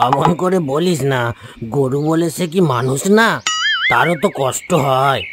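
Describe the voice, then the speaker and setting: A man's cartoonish character voice, fairly high in pitch with ordinary pitch variation, at a moderate pace over loud background noise. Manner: gentle, moralizing.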